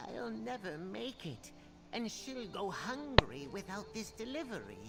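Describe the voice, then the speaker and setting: A put-on character voice with a fairly high pitch. Loud background noise runs underneath it. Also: moderate pace. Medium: video game. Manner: worried, earnest.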